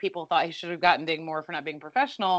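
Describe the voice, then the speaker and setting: Lively intonation marks a woman's medium-pitched, normal speaking voice. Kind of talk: casual podcast recap.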